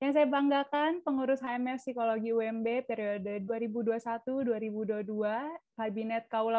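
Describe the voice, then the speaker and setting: A woman speaks with ordinary pitch variation against a quiet background, the sound dry with no echo. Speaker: student association chair. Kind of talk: welcome speech. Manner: formal. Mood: polite, warm. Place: home room. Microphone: video call.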